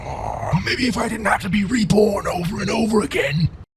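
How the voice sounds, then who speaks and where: A man puts on a cartoonish character voice pitched high. He keeps a moderate pace. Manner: blustering, touchy.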